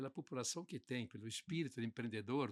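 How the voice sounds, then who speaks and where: Very wide swings in pitch from a man talking rather quickly. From southern Brazil, Santa Catarina (Concórdia area). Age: 80s+. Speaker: business association leader. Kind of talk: podcast interview. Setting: studio.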